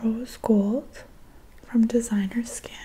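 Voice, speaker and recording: A woman speaks softly. Her intonation stays monotone and flat. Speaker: beauty product reviewer. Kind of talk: casual product review chat. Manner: soft-spoken, hushed ASMR voice. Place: home room. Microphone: studio mic.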